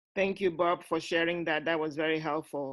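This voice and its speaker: Very deep and low in pitch, a woman with a non-native accent talks at a moderate pace with fairly even intonation, in a very clean recording with a silent background. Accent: foreign. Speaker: talk show host. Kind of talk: panel discussion.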